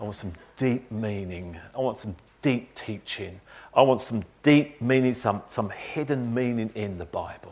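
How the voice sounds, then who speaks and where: A man puts on a husky character voice. He keeps a medium pitch and a moderate pace. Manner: intense.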